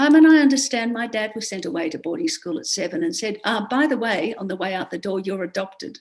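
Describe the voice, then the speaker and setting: Racing at a very fast pace with hardly any pauses, the speaker uses an Australian accent, with very wide pitch swings and big swings in loudness. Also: woman, fairly high pitch for a woman. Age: 70s. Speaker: education historian and author. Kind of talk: podcast interview. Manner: halting, many fillers.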